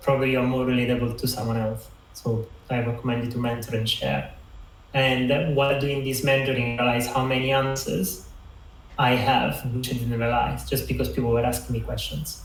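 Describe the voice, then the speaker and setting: A man with an Italian accent talks at a fairly quick pace, medium in pitch, in a monotone, flat way. Audible room echo and noticeable background noise surround him. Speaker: designer and mentor. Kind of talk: online talk. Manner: halting.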